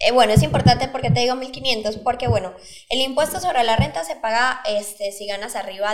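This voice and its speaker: A woman talks at a fairly quick pace with a fairly high pitch and big swings in loudness. She has a normal speaking voice. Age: 20s. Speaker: startup founder. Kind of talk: interview.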